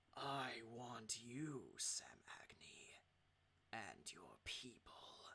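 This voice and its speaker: Growling in a put-on character voice, the speaker goes at a very slow pace. The pitch sits low to middle. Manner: cold.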